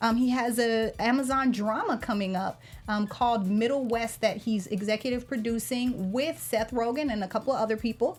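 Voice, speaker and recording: Music plays behind a woman speaking with an American accent at a fairly high pitch. She talks at a fairly quick pace with hardly any pauses and fairly even intonation. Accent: slight Southern accent, worked on. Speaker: TV aftershow co-host. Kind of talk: casual chat.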